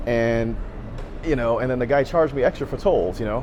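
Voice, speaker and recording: Music plays in the background as a man speaks at a very fast pace. His intonation is lively. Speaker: travel vlogger. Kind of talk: casual vlog monologue. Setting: outdoors, walking in city. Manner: halting, repetitive; loud.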